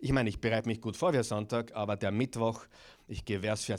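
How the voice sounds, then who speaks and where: A man speaks at a fairly quick pace and a medium pitch in a plain, everyday voice. The recording is very clean, with a silent background. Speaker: pastor. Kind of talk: bible study sermon.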